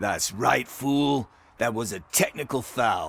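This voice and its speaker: Using a put-on character voice, a man speaks raspy and at medium pitch at a fairly slow pace, in a very clean recording with a silent background. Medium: video game. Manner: chatty, sarcastic.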